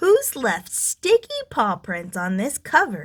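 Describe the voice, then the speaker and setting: Putting on a character voice, a woman sounds gruff, rumbling and growling at a fairly high pitch. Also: fairly slow pace. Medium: read story. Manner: gruff, grumbling.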